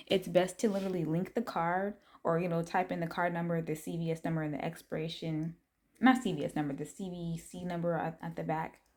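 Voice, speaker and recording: Speaking at a fairly quick pace, a woman with a fairly low pitch shows ordinary pitch variation. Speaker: money-making app vlogger. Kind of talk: casual vlog tutorial. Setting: at home at night, lit by TV. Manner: speaking low.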